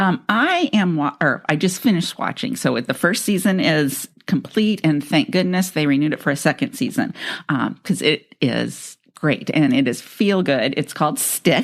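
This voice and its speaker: An American accent comes through as a woman with a fairly low voice speaks at a moderate pace, her pitch swinging very widely while her loudness stays very even, with hardly any pauses on a very clean recording against a silent background. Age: 50s. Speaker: podcast co-host. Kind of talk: casual chat.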